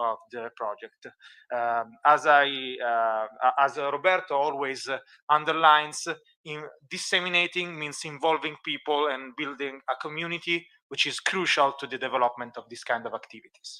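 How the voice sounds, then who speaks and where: A man with an Italian accent speaks at a moderate pace in a fairly high pitch, his tone bright and sharp. His intonation stays fairly even in a very clean recording with a silent background. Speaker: archaeology researcher presenting a project. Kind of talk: conference presentation with live demo. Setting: conference, streamed. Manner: halting, many fillers.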